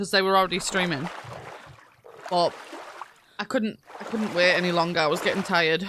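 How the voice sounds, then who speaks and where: The speaker has an animated tone. Background noise is noticeable throughout. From northeast England. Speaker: game streamer. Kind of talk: casual chat.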